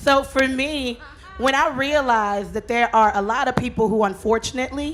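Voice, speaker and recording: A high-pitched woman's voice over music in the background. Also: ordinary pitch variation, moderate pace. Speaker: radio host. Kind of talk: panel discussion.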